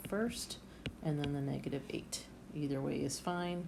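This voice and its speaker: A woman's dark, mellow tone at a moderate pace, with fairly even intonation. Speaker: math teacher. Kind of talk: tutorial.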